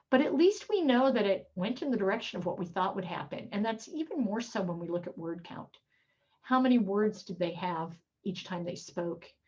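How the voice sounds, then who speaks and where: This woman's medium-pitched voice is somewhat breathy, and her intonation is lively. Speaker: professor. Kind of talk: lecture. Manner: fast.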